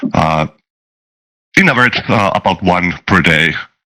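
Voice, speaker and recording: In a Finnish accent, a man talks at a very deep, low pitch with a bright, sharp tone, in a dry, close sound with no echo. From Finland. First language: not English (English is third language). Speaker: software developer and tabletop game master. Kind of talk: casual interview chat. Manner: halting, many filler sounds.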